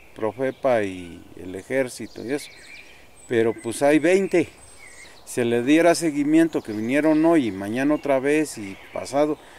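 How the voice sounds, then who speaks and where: Against noticeable background noise, a man at a medium pitch speaks at a fairly slow pace with lively intonation. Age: 60s. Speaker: community forest defender. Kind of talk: interview testimony.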